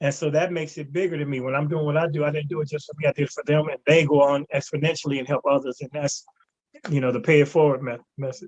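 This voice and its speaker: Talking at a very fast pace, a man with an American accent has a fairly high pitch and a somewhat breathy voice. His intonation stays monotone and flat. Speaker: comedian. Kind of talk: interview. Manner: stutter.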